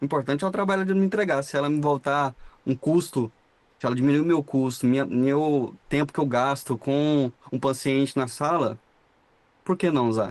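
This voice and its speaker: An unremarkable speaking voice, this man talks at a moderate pace with a fairly high pitch, ordinary pitch variation and very even loudness. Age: 20s. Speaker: dental radiologist, 3D printing specialist. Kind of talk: casual podcast interview.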